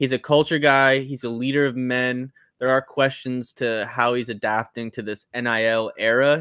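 Flat and monotone, a man's bright, sharp voice moves at a moderate pace in a very clean recording with a silent background. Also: medium pitch for a man. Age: 20s. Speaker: recurring podcast guest. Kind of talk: casual chat.

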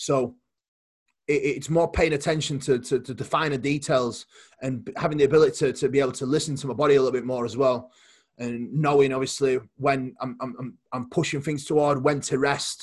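This man speaks at a moderate pace in a somewhat breathy, fairly high voice with fairly even intonation. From Poland. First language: Polish. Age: 20s. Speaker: bodybuilding coach and competitor. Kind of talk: casual interview chat. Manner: halting, repeats words.

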